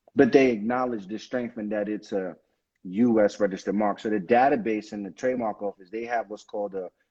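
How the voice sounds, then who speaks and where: This is a man talking. He has a Brooklyn accent. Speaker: attorney. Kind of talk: live stream Q&A on legal topics.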